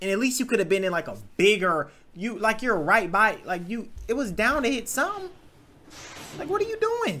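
A man's raised, projected voice, fairly quick in pace, with lively intonation. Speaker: reaction video host. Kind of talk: casual reaction commentary. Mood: amused, mocking.

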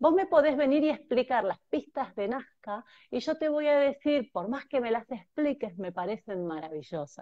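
A woman at a moderate pace and high pitch, dark and mellow in tone, with very wide pitch swings, hardly any pauses and a quiet background. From Argentina, Mar del Plata; Argentina. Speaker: transpersonal therapist; guest. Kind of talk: conversational interview, explanatory. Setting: video call on mobile phone. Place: home room. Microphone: earbuds.

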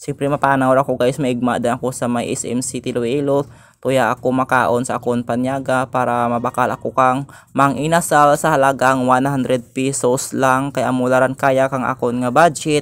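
Monotone, flat intonation at a moderate pace. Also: man, medium pitch for a man. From Philippines. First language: Hiligaynon (speaking Tagalog). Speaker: vlogger. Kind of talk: casual vlog. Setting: outdoors and in malls. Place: street. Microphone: phone near.

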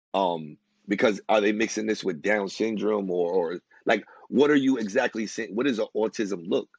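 Speaking at a moderate pace, a man with a fairly low pitch shows ordinary pitch variation in a dry, close sound with no echo. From USA, Dominican heritage. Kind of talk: casual interview chat. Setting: remote recording. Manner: halting, hesitant.

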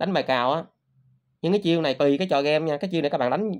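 The setting is quiet. A man speaks, his pitch varying in an ordinary way. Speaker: crypto trading youtuber. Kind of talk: casual monologue to viewers. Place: home room. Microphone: phone near.

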